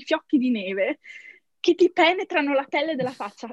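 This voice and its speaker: Speaking with a Trentino accent, a woman uses a high pitch and lively intonation. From Trento, northern Italy. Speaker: software engineer. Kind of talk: interview. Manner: frequent laughter; halting, English words mixed in.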